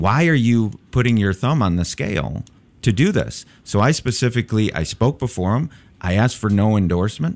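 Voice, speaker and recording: A normal speaking voice from a man with an American accent, fairly low-pitched, with lively intonation and very even loudness, on a very clean recording with a silent background. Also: fairly quick pace. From Chicago. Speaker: political candidate, public defender. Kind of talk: radio interview. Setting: studio.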